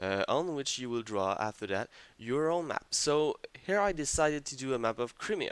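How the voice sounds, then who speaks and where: Speaking in a French accent, a man talks at a moderate pace in a fairly high voice with lively intonation. The recording is very clean and the background silent. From France. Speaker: video game tutorial maker. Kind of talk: tutorial. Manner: hesitant, many fillers.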